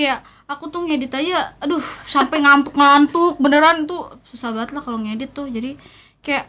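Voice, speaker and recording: A woman projects a raised voice with a bright, sharp tone at a moderate pace. Her pitch is high, with ordinary pitch variation. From Jakarta, Indonesia. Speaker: singer. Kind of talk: casual chat. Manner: animated.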